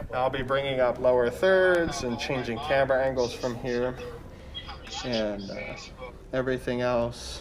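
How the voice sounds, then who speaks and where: A man at medium pitch talks at a fairly slow pace, leaving long, frequent pauses. His intonation is fairly even, with noticeable background noise and audible room echo. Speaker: church media technician. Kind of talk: casual chat. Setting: livestream with zoom. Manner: loud.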